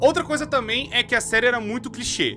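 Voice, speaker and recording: A man talks in a raised, projected voice while faint music plays in the background. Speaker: video commentator. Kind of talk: casual commentary. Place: home room. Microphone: studio mic.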